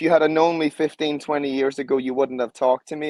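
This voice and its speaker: A man with an Irish accent speaks in a passionate tone at a fairly high pitch, with fairly even intonation. The sound is dry and close, with no echo. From Ireland. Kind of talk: interview.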